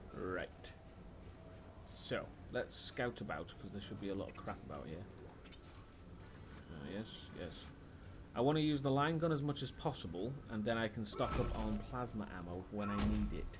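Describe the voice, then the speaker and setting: Amid audible room echo, a man with a slight Welsh accent speaks at a moderate pace in a fairly low pitch, swinging very widely in pitch and leaving long, frequent pauses. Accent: British, slightly Welsh. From Wales. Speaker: video game streamer. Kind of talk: live gameplay commentary. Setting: live stream. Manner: animated.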